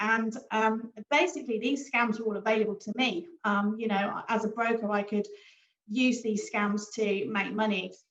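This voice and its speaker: In a British accent, a woman with a fairly high pitch speaks at a moderate pace with fairly even intonation. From Britain. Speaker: forex trader and broker founder. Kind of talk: business presentation. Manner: casual, many fillers.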